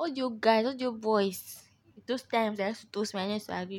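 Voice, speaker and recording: In a very clean recording with a silent background, a woman with a fairly high pitch talks at a very fast pace in an animated tone with ordinary pitch variation. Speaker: podcast host. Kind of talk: casual chat.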